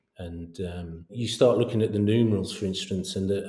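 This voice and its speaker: A man's fairly low, somewhat breathy voice with monotone, flat intonation. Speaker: podcast host. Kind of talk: interview.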